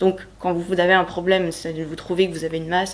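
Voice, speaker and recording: Over noticeable background noise, a woman with a fairly low pitch speaks at a very fast pace with fairly even intonation. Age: 30s. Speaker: healthcare worker and cancer patient. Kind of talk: personal testimony interview.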